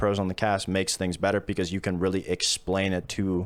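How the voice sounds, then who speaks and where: Very deep and low-pitched, a man speaks at a very fast pace. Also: very clean recording, silent background. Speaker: retired esports pro player and caster. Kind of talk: podcast interview. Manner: monotone.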